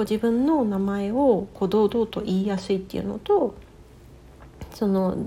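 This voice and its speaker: A woman speaks at a medium pitch in a dark, mellow tone. Her voice is somewhat breathy. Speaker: life coach. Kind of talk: casual chat.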